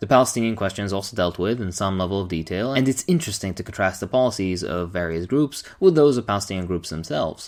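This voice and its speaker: Very fast and with lively intonation, a man speaks at a fairly low pitch. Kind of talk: book review talk to camera. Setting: echoey empty room.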